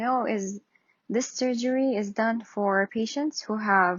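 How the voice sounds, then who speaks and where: At a very slow pace, a woman with a non-native accent speaks in fairly even intonation. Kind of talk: casual talk to camera. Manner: hesitant, many fillers.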